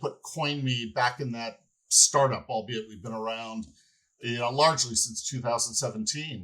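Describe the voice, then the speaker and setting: A man speaks with an American accent and ordinary pitch variation. His tone is bright and sharp. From United States. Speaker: company finance executive. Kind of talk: podcast interview. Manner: halting, many fillers and repeated words.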